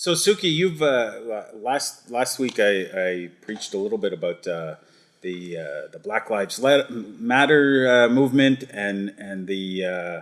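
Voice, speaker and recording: This man has a plain, everyday voice at a medium pitch. He talks at a fairly slow pace with lively intonation. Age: 50s. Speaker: parish priest. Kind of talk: casual chat.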